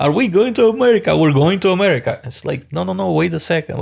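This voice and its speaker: A man talks at a very fast pace. He has a Romanian accent. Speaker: business founder. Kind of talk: interview.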